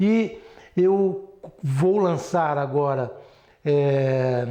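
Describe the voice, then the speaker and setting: A man's dark, mellow-toned voice. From Brazil, Campos dos Goytacazes then Rio de Janeiro. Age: 70s. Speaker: filmmaker. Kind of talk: interview.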